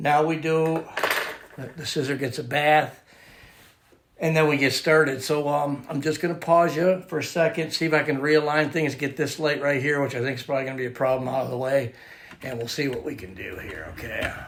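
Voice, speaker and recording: A man's fairly high voice, fairly even in intonation, at a fairly quick pace, with audible room echo. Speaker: scissor sharpener. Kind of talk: tutorial. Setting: at home workshop. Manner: casual, filler-heavy; loud.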